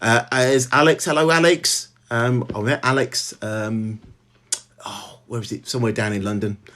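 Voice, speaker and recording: A man with a Birmingham accent talks at a fairly slow pace with ordinary pitch variation. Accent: Birmingham (Brummie), clear. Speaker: novelist. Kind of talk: casual chat. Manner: halting, many fillers.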